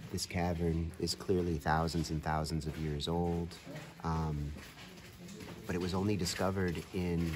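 Over noticeable background noise, a man with a very deep, low voice speaks at a moderate pace in monotone, flat intonation. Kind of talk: reflective casual vlog narration. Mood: calm, contemplative. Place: tunnel cave. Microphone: phone near.

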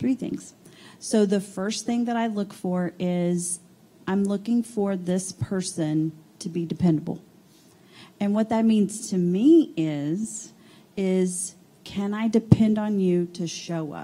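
Very slow delivery with ordinary pitch variation, a somewhat breathy quality and a dark, mellow tone. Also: woman. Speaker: HR coordinator. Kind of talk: panel discussion. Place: meeting room.

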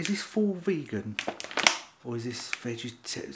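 Over noticeable background noise, a somewhat breathy man speaks with very wide pitch swings. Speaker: food reviewer. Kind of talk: casual vlog chat. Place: kitchen. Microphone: phone near.

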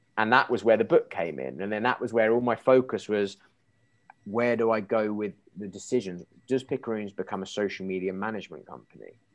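Talking at a fairly quick pace, a man with an English accent uses a fairly low pitch and ordinary pitch variation. His loudness swings widely. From England. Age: 30s. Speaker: marketing agency founder; podcast guest. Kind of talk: interview. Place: kitchen. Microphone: earbuds.

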